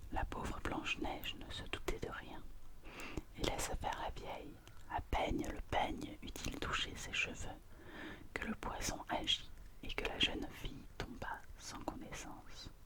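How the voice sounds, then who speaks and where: Whispering at a fairly slow pace, a woman leaves long, frequent pauses while noticeable background noise continues. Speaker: ASMR reader. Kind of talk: ASMR fairy tale reading, whispered. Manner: whispered, soft.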